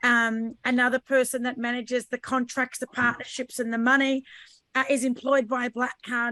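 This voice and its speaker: Her high-pitched voice, in an Australian accent, has a bright, sharp tone and flat monotone intonation at a moderate pace, with dry, close sound, no echo and a very clean recording on a silent background. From Australia, Sydney/Brisbane. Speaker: podcaster and business owner. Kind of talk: panel discussion.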